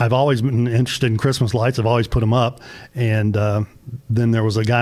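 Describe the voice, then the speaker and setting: A man with a Tennessee accent talks fairly quickly at a medium pitch, in monotone, flat intonation. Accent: Southern US (Tennessee). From US South, northern Middle Tennessee. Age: 60s. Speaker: small business owner, Christmas light installer. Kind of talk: radio interview.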